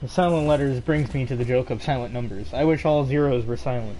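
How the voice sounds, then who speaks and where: A man speaks at a medium pitch and a moderate pace with ordinary pitch variation. His tone is dark, mellow and somewhat breathy. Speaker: gaming streamer. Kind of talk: casual chat.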